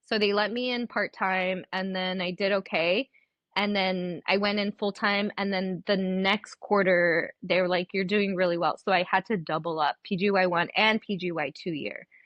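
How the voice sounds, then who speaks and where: With a Spanish accent, a woman talks at a moderate pace with hardly any pauses. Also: medium pitch for a woman. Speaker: dentist. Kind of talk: casual chat. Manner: animated.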